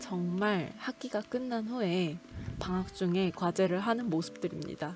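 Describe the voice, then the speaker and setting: A woman at a medium pitch and a fairly slow pace, with ordinary pitch variation and noticeable background noise. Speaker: graduate student vlogger. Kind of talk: vlog narration.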